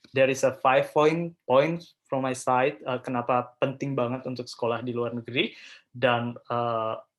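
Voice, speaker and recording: Intonation stays fairly even as the speech proceeds at a moderate pace. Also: man, medium pitch for a man. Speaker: scholarship and study-abroad speaker, postgraduate student. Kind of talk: webinar presentation. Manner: hesitant, many filler sounds; code-switching Indonesian and English.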